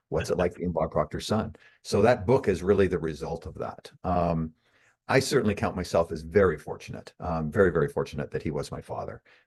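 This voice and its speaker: A man speaks at a fairly quick pace in a very deep, low, somewhat breathy voice. His pitch variation is ordinary, and the background is quiet. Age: 60s. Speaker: author and marketer. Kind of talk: interview. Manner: halting.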